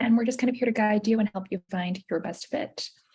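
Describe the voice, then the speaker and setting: With an American accent, a woman speaks at a very fast pace. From United States. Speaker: university admissions representative. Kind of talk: presentation at virtual college fair.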